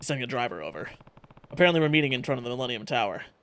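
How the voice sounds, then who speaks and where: A man's put-on character voice at a medium pitch and very fast pace, with lively intonation, big swings in loudness, and sound effects in the background. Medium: game stream. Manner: steady, serious.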